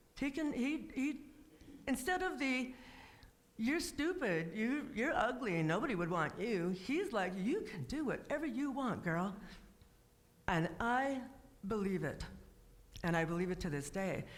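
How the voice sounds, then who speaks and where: A woman speaks with a fairly high pitch at a fairly slow pace, her loudness very even. Her pitch swings very widely, with long, frequent pauses and audible room echo. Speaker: guest speaker and author. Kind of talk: personal testimony talk.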